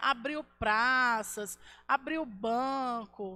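A woman with a high pitch talks in an animated, bright, sharp tone with ordinary pitch variation. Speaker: school history teacher. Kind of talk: online class lecture.

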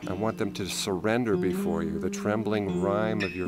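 A man's pitch swings very widely as music plays behind him. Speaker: musician and poetry reciter. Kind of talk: poetry reading.

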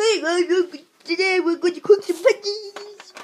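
An extremely high-pitched, put-on character voice moves along at a fairly slow pace. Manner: cheerful.

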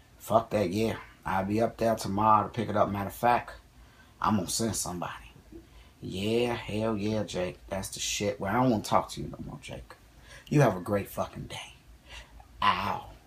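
A man with a fairly low pitch speaks at a moderate pace with vocal fry, ordinary pitch variation, big swings in loudness and long, frequent pauses. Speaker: comedy sketch actor. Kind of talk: acted comedic phone call. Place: home room.

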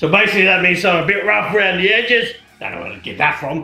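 Using a put-on character voice, a man speaks in a raspy, high pitch with a slight echo. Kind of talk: comedy sketch, slang explainer to camera. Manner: casual, laid-back, crude.

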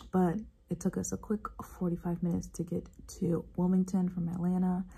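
A woman speaks in a dark, mellow tone, somewhat breathy. Her intonation is flat and monotone. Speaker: flight attendant vlogger. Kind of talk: casual vlog chat. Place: home room. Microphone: phone near.

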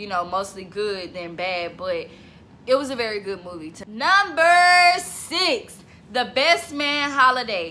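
A woman's animated voice with very wide pitch swings at a fairly slow pace, over light background noise. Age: 20s. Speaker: vlogger. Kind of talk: casual vlog monologue. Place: home room. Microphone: phone near.

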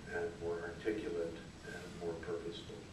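Ordinary pitch variation comes through with audible room echo and noticeable background noise. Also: man. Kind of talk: public hearing testimony. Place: meeting room. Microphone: camera far.

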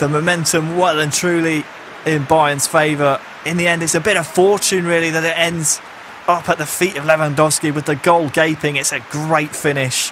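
Over noticeable background noise, a man speaks at a moderate pace with fairly high pitch and monotone, flat intonation. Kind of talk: football co-commentary, analytical.

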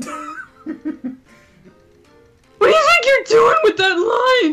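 Put-on character voice with a playful tone at an extremely high pitch, very wide pitch swings and a very slow pace, over faint music in the background. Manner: obnoxious, playful.

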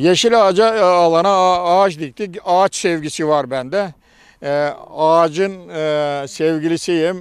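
A high-pitched man at a very slow pace, with fairly even intonation, dry sound with no echo and a quiet background. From Bulgaria. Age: 70s. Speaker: retired tree planter. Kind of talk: interview. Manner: halting. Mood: earnest, slightly aggrieved. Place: open country. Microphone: handheld.

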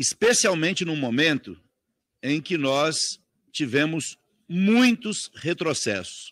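Dry sound with no echo carries a man's fairly high voice at a very slow pace, with very wide pitch swings and long, frequent pauses. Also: quiet background. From Brazil. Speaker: congressman. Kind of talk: parliamentary speech. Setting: parliamentary committee room. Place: meeting room. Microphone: podium.

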